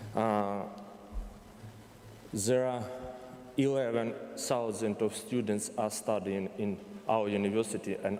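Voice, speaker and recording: Someone with a Ukrainian accent speaks at a fairly slow pace with long, frequent pauses, amid audible room echo. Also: man. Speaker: university representative. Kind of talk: conference presentation. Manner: halting.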